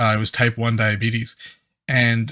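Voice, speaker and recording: Bright and sharp in tone, a man speaks at a medium pitch. The recording is very clean and dry, close with no echo and a silent background. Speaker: YouTube reactor. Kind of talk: casual reaction commentary. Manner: stammers at times.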